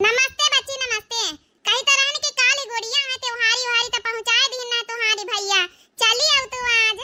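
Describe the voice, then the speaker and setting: A cartoonish character voice, female-sounding and squeaky, speaks at extremely high pitch and a moderate pace. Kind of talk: comic cartoon voice acting. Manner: insistent, chatty.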